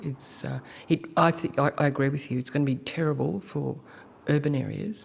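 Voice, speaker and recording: This voice carries an Australian accent. It moves at a moderate speed. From rural Australia. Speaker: senator. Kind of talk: committee questioning. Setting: committee hearing.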